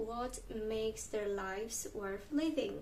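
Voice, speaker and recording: A woman with a Polish accent, fairly high in pitch with ordinary pitch variation, speaking at a very slow pace amid audible room echo. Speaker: video creator. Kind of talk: reading aloud; vlog monologue.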